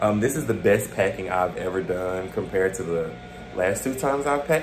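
The speech moves at a fairly quick pace. Music plays in the background. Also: man. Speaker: fashion vlogger. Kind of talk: casual vlog chat. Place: home room. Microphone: phone near.

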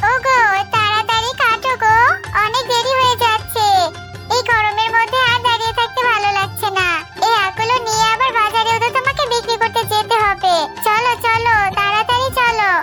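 With clear music in the background, a woman does a cartoonish character voice at an extremely high pitch and a moderate pace.

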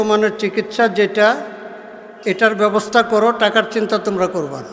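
Over noticeable background noise, a man with a high pitch speaks in a monotone, flat intonation. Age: 70s. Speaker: Islamic preacher. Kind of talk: sermon. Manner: call-and-response, rhetorical questions to audience.

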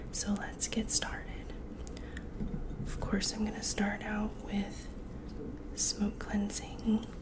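Through loud background noise, a woman speaks at a very slow pace with long, frequent pauses. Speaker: Reiki practitioner and ASMR creator. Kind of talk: ASMR sleep routine, guided relaxation. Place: home room.

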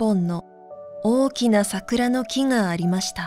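Background music accompanies this clip. The woman's voice sits at a medium pitch. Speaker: narrator. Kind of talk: sleep story reading.

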